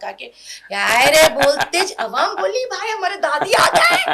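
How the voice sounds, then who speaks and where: A woman's raised, projected voice with a Hyderabadi accent and very wide pitch swings, over noticeable background noise. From Hyderabad, India. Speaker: comedic character actor. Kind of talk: interview.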